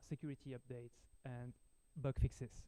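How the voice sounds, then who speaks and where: In a French accent, the voice has a dark, mellow tone at a moderate pace, recorded dry and close with no echo. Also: man. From France. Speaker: software engineer, conference speaker. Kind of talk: technical talk. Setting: meetup with audience, livestreamed. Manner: hesitant, many fillers.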